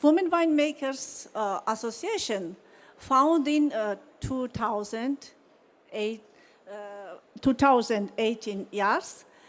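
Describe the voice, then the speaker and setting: A woman with a Georgian accent speaks at a very slow pace, with long, frequent pauses. Her intonation is lively and her loudness swings widely. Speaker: wine company owner. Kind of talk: conference presentation. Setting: conference hall. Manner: halting.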